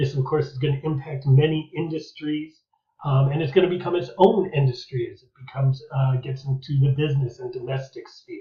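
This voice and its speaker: A man speaks with an American accent in a fairly high pitch, his intonation fairly even and his voice somewhat breathy. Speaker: history teacher. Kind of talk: lecture. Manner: fast.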